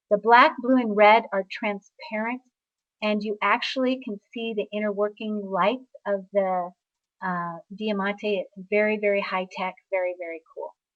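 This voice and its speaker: A woman with medium pitch, ordinary pitch variation and a moderate pace speaks in a normal speaking voice. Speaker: sales representative for steno products. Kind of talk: product presentation. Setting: online webinar.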